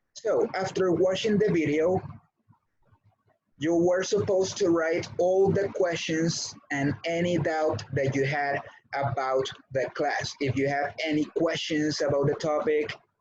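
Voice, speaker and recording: A man with a Spanish accent speaks at a fairly slow pace in a fairly high pitch. His pitch varies in an ordinary way, and his loudness stays very even. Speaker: English teacher. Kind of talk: online class. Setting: video call.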